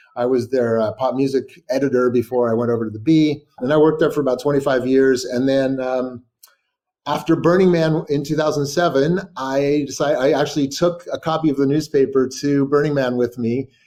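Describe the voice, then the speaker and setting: A man in a Californian accent speaks at a fairly quick pace, his fairly high-pitched voice dark and mellow in tone with fairly even intonation. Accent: General American (Californian). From California, Sacramento. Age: 60s. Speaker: writer and journalist. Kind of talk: interview. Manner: halting, many fillers and repetitions.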